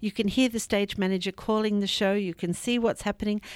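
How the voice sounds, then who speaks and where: A woman talking at a very fast pace in a very clean recording with a silent background. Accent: Australian. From Australia. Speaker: arts education director. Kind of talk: interview.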